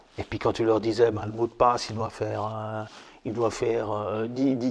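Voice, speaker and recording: A man at a fairly slow pace, monotone and flat in intonation. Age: 50s. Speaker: marketing consultant. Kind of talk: casual chat. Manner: halting, many repetitions. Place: home room.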